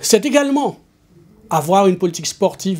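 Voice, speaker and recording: The tone of this man's voice is dark and mellow. His intonation is lively. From Guadeloupe, Pointe-à-Pitre. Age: 60s. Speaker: local politician, municipal candidate. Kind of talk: campaign speech. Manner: formal.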